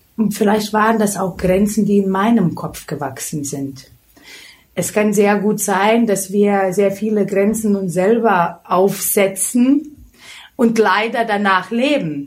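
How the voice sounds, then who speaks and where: A woman talks with a Lithuanian accent at a medium pitch. Her pace is very slow, with ordinary pitch variation. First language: Lithuanian (speaking German). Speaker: beauty expert and hairdresser. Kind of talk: interview.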